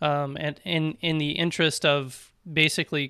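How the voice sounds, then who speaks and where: A man speaks in a fairly high pitch with a bright, sharp tone and fairly even intonation. The recording is very clean, with a silent background and a dry, close sound with no echo. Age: 20s. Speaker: ham radio youth organizer and RF engineer. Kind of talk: casual interview. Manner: fast.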